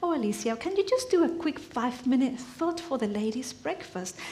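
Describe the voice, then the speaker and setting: Audible room echo surrounds a woman who speaks at a moderate pace, her pitch high and her intonation lively. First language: Spanish. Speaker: church member giving a teaching. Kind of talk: sermon. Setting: church. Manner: halting.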